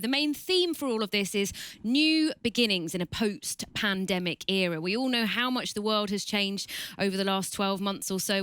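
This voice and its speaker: In a British accent, a bright, sharp voice moves at a fairly quick pace with ordinary pitch variation. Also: woman. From Britain. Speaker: journalist and event moderator. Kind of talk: online event hosting. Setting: studio, online event.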